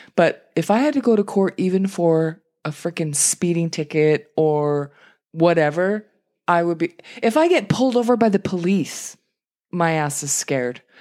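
A woman speaks at a moderate pace in an ordinary speaking voice, her pitch fairly low and her intonation lively. The recording is very clean, with a silent background. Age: 40s. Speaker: podcast co-host. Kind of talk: casual chat.

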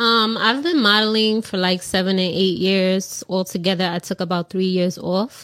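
A normal speaking voice with an American accent moves at a moderate pace with fairly even intonation, in a very clean recording with a silent background and a dry, close sound with no echo. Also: woman. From New York City. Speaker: content creator.

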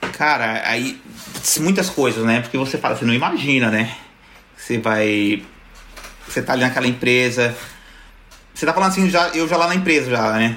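A man with a São Paulo accent speaks at medium pitch with lively intonation. He leaves long, frequent pauses, and there is noticeable background noise. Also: moderate pace, very even loudness. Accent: Brazilian Portuguese, São Paulo. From São Paulo, Brazil (Zona Sul). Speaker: YouTuber. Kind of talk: casual chat.

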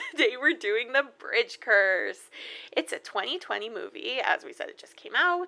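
Her tone is bright and sharp. The woman's pitch swings very widely. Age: 20s. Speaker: horror movie podcast co-host. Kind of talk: casual chat. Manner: animated.

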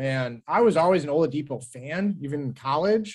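A man speaks in a normal speaking voice with an American accent. His pitch is fairly high, and his intonation is lively. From Cleveland, Ohio. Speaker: sports fan guest. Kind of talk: casual chat.

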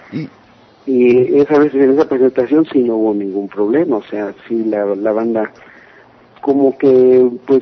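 Noticeable background noise is present throughout. The speaking is fairly slow, with ordinary pitch variation. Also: man. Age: 30s. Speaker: metal singer. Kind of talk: interview.

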